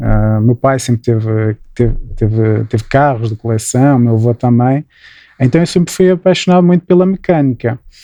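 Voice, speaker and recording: A man with a strong Porto accent speaks at a moderate pace and medium pitch, his dark, mellow tone carried by lively intonation at very even loudness, in a dry, close recording with no echo. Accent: strong northern Portuguese (Porto). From Portugal, Porto. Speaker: mechanical engineer, energy consultancy founder. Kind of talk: podcast interview. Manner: hesitant, many repetitions and fillers.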